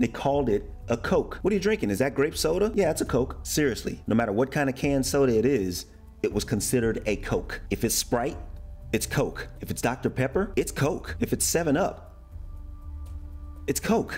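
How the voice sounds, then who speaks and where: A man speaks with an American accent at a moderate pace. Music plays in the background. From United States. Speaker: American expat YouTuber living in Germany. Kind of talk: casual talk to camera.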